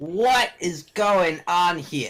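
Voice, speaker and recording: A man puts on a high-pitched character voice. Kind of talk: comic goblin caricature. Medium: actual play. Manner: gruff, blustering, impatient.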